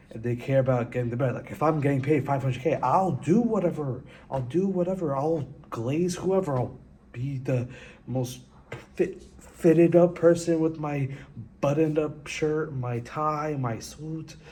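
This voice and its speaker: The speaker keeps a moderate pace with ordinary pitch variation, and audible room echo is heard. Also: man, fairly high pitch for a man. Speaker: vlogger. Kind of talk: casual vlog monologue. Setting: empty classroom. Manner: casual, halting with restarts.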